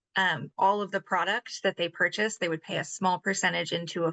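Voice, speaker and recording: A woman with a fairly low pitch talks at a fairly quick pace, with vocal fry in her voice. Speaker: labor rights advocate. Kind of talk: panel discussion answer. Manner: fast.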